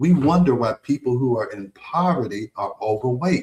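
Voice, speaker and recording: A man with an American accent speaks in a dark, mellow tone that is somewhat breathy, with ordinary pitch variation. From United States. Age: 60s. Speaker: physician and health radio host. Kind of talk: radio health talk. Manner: conversational, repetitive fillers.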